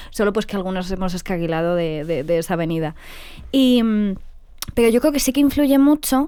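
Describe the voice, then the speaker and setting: A woman's medium-pitched voice with a dark, mellow tone and very wide pitch swings at a fairly quick pace. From northern Morocco. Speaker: podcast host. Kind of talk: interview.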